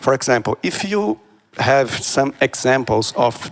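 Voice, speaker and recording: At a very slow pace, a man with a Portuguese accent speaks at a medium pitch in a dry, close sound with no echo. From Brazil. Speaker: audience member. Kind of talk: audience question. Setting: event with live audience. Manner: halting, many fillers.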